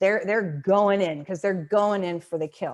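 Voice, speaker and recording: A woman with an American accent talks at a medium pitch and a fairly quick pace. Her tone is animated, with ordinary pitch variation. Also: quiet background. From Montana (north central), US. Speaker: negotiation consultant, webinar presenter. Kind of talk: webinar presentation. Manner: animated, conversational with false starts.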